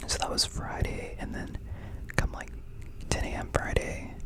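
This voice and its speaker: Whispering in a relaxed tone at a moderate pace, the speaker is heard over noticeable background noise. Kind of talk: whispered ASMR ramble about recent life events. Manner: whispered, soft, relaxed, casual.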